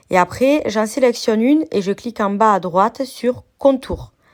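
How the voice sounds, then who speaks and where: Speaking at a very slow pace, a woman with a fairly high voice comes through on a very clean recording with a silent background. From southern France. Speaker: crafts youtuber. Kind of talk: software tutorial.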